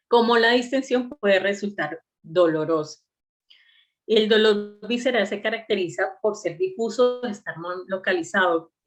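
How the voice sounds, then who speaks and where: A woman talks at a fairly slow pace while music plays behind her. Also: medium pitch for a woman, ordinary pitch variation. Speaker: medical lecturer. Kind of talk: online lecture.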